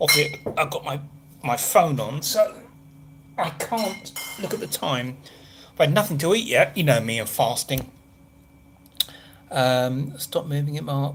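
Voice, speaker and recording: A man with an English accent speaks at a fairly slow pace, leaving long, frequent pauses. His fairly high pitch carries lively intonation. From southern England. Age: 50s. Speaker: travel vlogger. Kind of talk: casual live stream chat. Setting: hotel room. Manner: chatty, rambling, casual.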